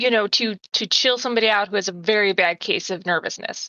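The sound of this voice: Speaking at a fairly quick pace, a woman uses a medium pitch and ordinary pitch variation, her tone bright and sharp in a dry, close sound with no echo.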